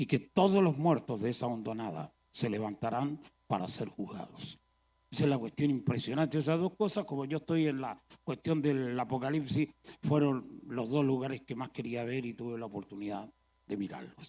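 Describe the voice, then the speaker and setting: This man's voice has a dark, mellow tone at a medium pitch. He talks at a moderate pace with lively intonation. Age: 70s. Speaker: traveling preacher. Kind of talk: sermon.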